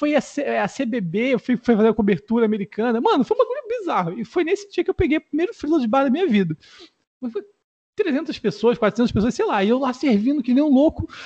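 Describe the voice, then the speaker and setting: A man's extremely high voice with very wide pitch swings at a fairly quick pace, dry and close with no echo. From Rio de Janeiro. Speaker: content creator. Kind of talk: casual chat.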